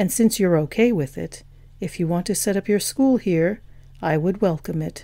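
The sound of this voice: A reading voice, unforced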